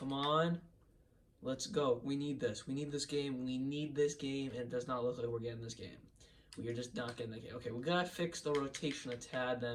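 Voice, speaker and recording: A man speaks fairly quickly in a fairly high, animated voice. Noticeable background noise runs underneath. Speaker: gaming YouTuber. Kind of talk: video game commentary.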